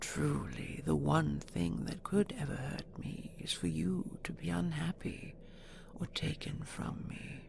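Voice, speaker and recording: A woman whispers in a put-on character voice at a fairly slow pace. Clear background noise runs underneath. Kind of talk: audio roleplay. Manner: soft-spoken, coaxing.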